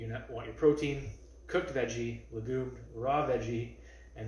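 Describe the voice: With audible room echo, a man talks at a fairly quick pace, his intonation fairly even and his tone slightly mellow.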